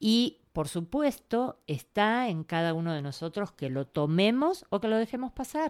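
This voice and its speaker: A woman with a Rioplatense accent speaks at a medium pitch and a fairly slow pace, with very wide pitch swings and hardly any pauses. The recording is very clean, with a silent background and a dry, close sound with no echo. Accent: Argentine Rioplatense Spanish. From Argentina, Buenos Aires. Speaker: writer, therapist and storyteller. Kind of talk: interview.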